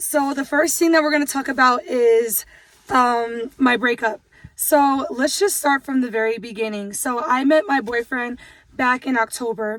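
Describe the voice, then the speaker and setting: A woman talks loudly at a moderate pace, her high pitch varying in an ordinary way. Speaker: vlogger. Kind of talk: casual chat. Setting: in a car.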